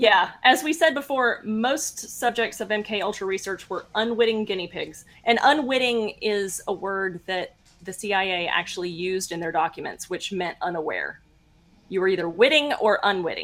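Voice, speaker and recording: A woman with a plain, everyday voice talks at a moderate pace in a medium pitch, her intonation lively. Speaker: podcast host. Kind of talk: casual chat.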